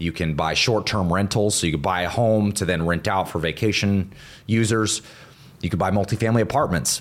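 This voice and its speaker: In a normal speaking voice with an American accent, the speaker uses ordinary pitch variation and keeps loudness very even. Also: man, fairly low pitch for a man, fairly quick pace. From US South, Northwest Florida near Pensacola. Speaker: entrepreneur and real estate investor. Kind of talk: podcast interview. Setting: host's home.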